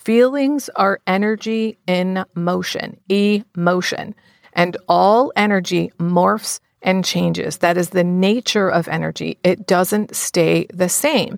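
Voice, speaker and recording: A woman speaks at a medium pitch with ordinary pitch variation, an unremarkable speaking voice. The sound is dry and close, with no echo. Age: 60s. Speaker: podcast host and boundaries coach. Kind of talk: solo podcast monologue.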